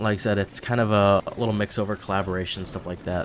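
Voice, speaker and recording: Noticeable background noise sits behind this recording. A man speaks at a fairly low pitch with fairly even intonation. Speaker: gaming YouTuber. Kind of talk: casual gameplay commentary. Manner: fast; rambling with fillers.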